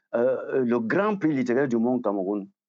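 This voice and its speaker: This is a man with a medium-pitched voice. He speaks fairly slowly. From Cameroon. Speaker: writer and academic. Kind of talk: interview. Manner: halting, many fillers.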